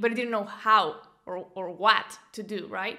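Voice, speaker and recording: A woman speaks fairly slowly with a Venezuelan accent, her fairly high voice bright and sharp in tone. Audible room echo surrounds her. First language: Spanish. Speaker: business coach and entrepreneur. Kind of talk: interview. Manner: halting, frequent repetitions.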